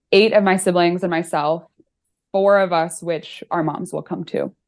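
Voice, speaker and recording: Over a quiet background, a woman with an American accent speaks at a moderate pace in a medium pitch, in a plain, everyday voice. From US Midwest, Chicago northern suburbs. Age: 20s. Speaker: author and accountant. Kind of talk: casual interview chat.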